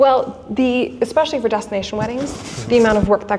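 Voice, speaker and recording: A woman speaks with an American accent. Background noise is noticeable. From US Midwest, Wisconsin. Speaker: wedding photographer. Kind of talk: podcast interview.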